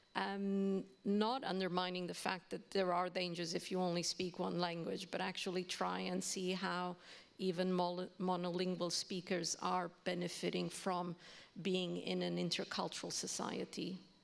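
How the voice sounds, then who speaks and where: At a moderate pace, a woman speaks in a Portuguese accent with monotone, flat intonation. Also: fairly low pitch for a woman. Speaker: university language educator. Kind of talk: panel discussion.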